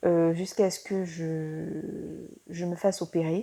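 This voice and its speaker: A woman's fairly low voice, dark and mellow in tone, with fairly even intonation. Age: 20s. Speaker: student sharing patient testimonial. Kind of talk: testimony. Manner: hesitant, many fillers.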